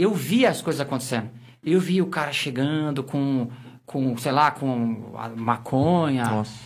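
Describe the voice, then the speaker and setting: With a silent background, this very clean recording captures a man speaking. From Osasco, São Paulo, Brazil. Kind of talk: casual chat.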